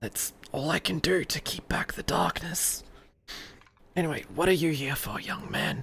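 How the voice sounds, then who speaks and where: Someone whispers in a raspy, put-on character voice, leaving long, frequent pauses. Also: moderate pace. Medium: actual play.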